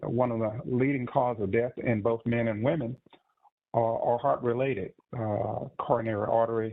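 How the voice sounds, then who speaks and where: At a moderate pace, a man with an American accent talks at a medium pitch with ordinary pitch variation. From Texas. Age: 60s. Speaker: cardiologist. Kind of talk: webinar presentation. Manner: halting, many fillers.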